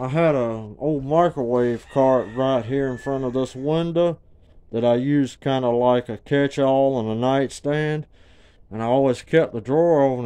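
Medium in pitch, this man's dark, mellow tone carries a Southern US accent and ordinary pitch variation. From Georgia, US South. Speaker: homeowner telling a story. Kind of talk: casual talk to camera. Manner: stutter. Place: home room. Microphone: phone near.

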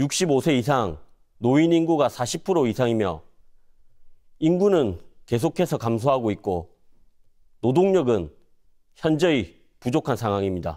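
Very slow speech from a man with a dark, mellow tone, very wide pitch swings, long and frequent pauses, and a quiet background. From South Korea, North Gyeongsang (Cheongsong); North Gyeongsang, South Korea. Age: 30s. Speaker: parliamentary candidate; candidate. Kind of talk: campaign speech. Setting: studio. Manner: formal. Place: studio.

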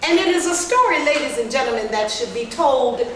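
A woman speaks at a moderate pace in a high pitch. Audible room echo and light background noise are present. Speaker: master of ceremonies. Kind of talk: ceremonial speech. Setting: stage with audience. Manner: animated. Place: meeting room. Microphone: camera far.

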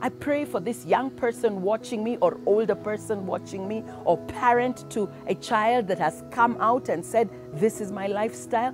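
With clear music in the background, a woman talks at a moderate pace in a dry recording with no echo. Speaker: minister. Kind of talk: sermon and prayer. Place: garden.

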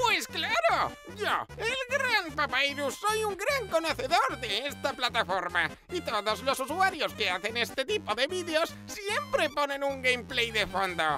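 Clear music plays in the background. A cartoonish character voice speaks at a fairly slow pace. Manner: boastful, excitable.

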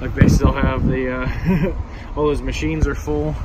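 The sound is dry, with no echo. Loud background noise fills the recording. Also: man. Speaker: local vlogger. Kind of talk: casual vlog chat. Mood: relaxed, amused. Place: street. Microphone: phone near.

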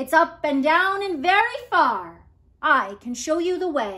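A woman uses a put-on character voice, high-pitched with a bright, sharp tone. She goes at a slow pace with lively intonation.

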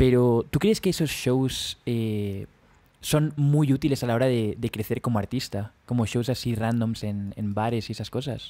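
A man with a Castilian accent and a dark, mellow tone speaks at a medium pitch and a fairly slow pace with ordinary pitch variation, in a very clean recording with a silent background. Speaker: podcast host. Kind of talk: casual chat.

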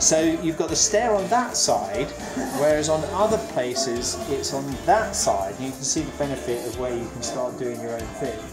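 Over clear music in the background, the speech moves at a moderate pace. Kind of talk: casual walk-through commentary. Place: home room. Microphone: phone near.

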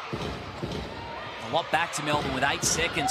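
A man talks in an animated tone. Noticeable background noise runs beneath his voice. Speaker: basketball commentator. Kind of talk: live sports commentary. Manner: animated, punchy.

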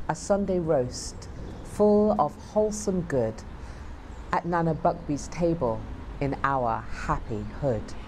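Against light background noise, a woman speaks at a very slow pace. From United Kingdom. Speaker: performance poet. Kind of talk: poetry reading. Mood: proud, warm.

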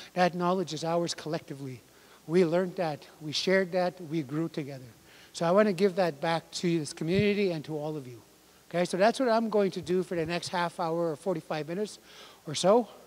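A man speaks at a high pitch. His pace is fairly quick. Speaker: language workshop instructor. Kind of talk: lecture. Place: hall. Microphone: handheld.

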